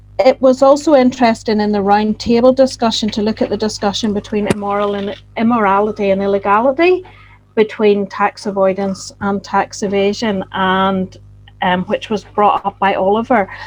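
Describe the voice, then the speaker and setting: A woman at medium pitch speaks in a Northern Irish accent at a moderate pace, her intonation fairly even. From Northern Ireland. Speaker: postgraduate researcher. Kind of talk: closing summary at online roundtable.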